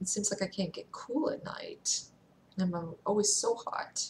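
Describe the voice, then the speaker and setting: A soft-spoken woman talks at a moderate pace, her voice somewhat breathy. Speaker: vlogger. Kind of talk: video diary. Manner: halting. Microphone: too quiet.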